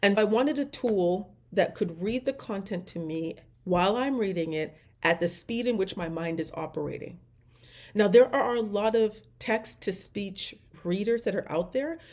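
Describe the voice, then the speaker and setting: In a very clean recording with a silent background, a woman speaks at a medium pitch with lively intonation and an animated tone. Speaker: AI trainer and business owner. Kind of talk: casual tutorial monologue. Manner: fast.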